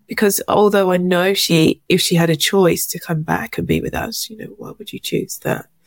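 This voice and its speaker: A woman in an English accent at a moderate pace, very clean recording with a silent background. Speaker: charity founder. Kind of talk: testimony.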